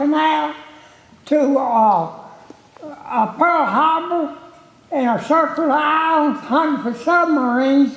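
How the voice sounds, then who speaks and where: Through audible room echo and noticeable background noise, a man with a Southern US accent talks at a fairly slow pace, his extremely high pitch showing ordinary pitch variation. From North Carolina. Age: 80s+. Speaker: war veteran. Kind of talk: personal testimony.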